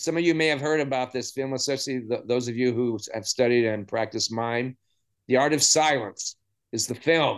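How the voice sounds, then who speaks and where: Against a quiet background, a man speaks at a moderate pace in a normal speaking voice. His pitch is medium, with ordinary pitch variation. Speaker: podcast host. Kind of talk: interview with scripted intro. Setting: video call.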